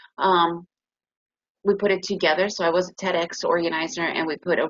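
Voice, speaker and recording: Here is an ordinary speaking voice with an American accent. It moves at a fairly quick pace with fairly even intonation. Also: woman. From United States. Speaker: trading educator. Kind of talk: webinar presentation.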